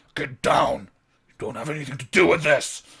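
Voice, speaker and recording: Putting on a raspy character voice, a man speaks at a fairly high pitch with big swings in loudness. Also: moderate pace. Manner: growling, aggressive.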